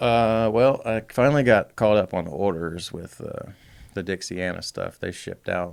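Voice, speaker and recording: Speech comes at a moderate pace with a Southern US accent. The pitch varies in an ordinary way. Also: man. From US South (Alabama). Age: 30s. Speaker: custom bike builder. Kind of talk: casual chat.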